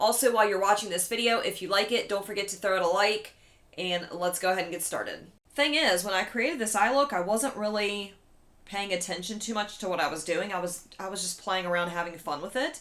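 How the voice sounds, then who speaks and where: A woman at medium pitch with a slight West Virginia accent. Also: ordinary pitch variation, fairly quick pace. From West Virginia, Eastern Panhandle. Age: 30s. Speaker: beauty vlogger. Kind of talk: casual chat. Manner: casual, chatty.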